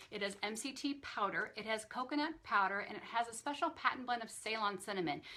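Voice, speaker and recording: A woman's very fast, enthusiastic, upbeat delivery, fairly high and bright, with a sharp tone and lively intonation. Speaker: nutrition specialist doing a weekly live Q&A. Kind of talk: live stream Q&A with product talk. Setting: Facebook live stream.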